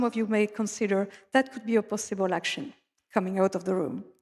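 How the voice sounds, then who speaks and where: The speaker is a woman with a French accent. She keeps a moderate pace. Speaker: conference speaker, data analytics expert. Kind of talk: conference presentation. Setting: conference stage with audience. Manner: halting, with fillers.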